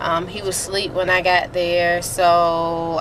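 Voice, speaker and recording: Over noticeable background noise, a woman with a fairly low pitch speaks at a very slow pace. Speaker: vlogger. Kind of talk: casual vlog. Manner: hesitant, many fillers.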